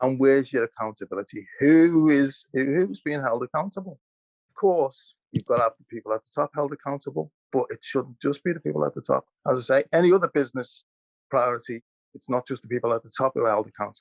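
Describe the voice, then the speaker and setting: In a Liverpool accent, a man talks at a very fast pace with a fairly high pitch and ordinary pitch variation. The sound is dry and close, with no echo. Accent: Liverpool (Scouse). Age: 60s. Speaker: historian. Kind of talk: panel discussion. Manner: halting, repeats words.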